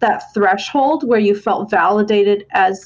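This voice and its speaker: A woman with a fairly high pitch and a normal speaking voice talks at a moderate pace with ordinary pitch variation. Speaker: therapist and podcast co-host. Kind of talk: interview.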